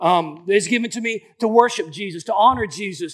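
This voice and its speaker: A man sounds animated as he speaks. His voice is high, with ordinary pitch variation. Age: 40s. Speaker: pastor. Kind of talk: sermon.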